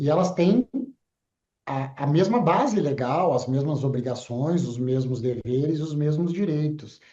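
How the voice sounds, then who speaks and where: Speaking fairly slowly with a southern Brazilian accent, a man uses a fairly high pitch and ordinary pitch variation. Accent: gaúcho. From southern Brazil (Rio Grande do Sul). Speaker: broadcasting association executive. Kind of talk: TV interview. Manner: halting, with fillers.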